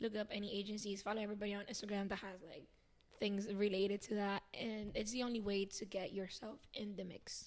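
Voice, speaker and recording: A woman speaks in a Spanish accent at a fairly quick pace. Her intonation stays monotone and flat. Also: medium pitch for a woman. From Venezuela. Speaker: dancer and actress. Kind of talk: casual interview.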